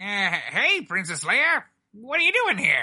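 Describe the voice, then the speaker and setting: Cackling in a put-on character voice, the speaker moves at a fairly slow pace with very wide pitch swings. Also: female-sounding voice, high pitch for a woman. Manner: cackling, villainous.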